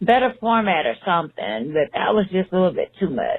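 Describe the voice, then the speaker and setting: A woman talks at a fairly quick pace with lively intonation. She has a Southern accent. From Texas, Beaumont. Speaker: listener leaving voicemail. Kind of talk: voicemail message. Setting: phone voicemail. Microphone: poor phone audio.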